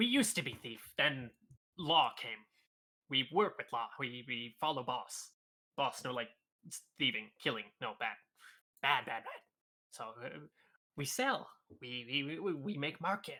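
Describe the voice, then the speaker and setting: Using a put-on character voice, a man with fairly high pitch goes at a fairly slow pace, leaving long, frequent pauses. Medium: actual play. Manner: broken, simple speech.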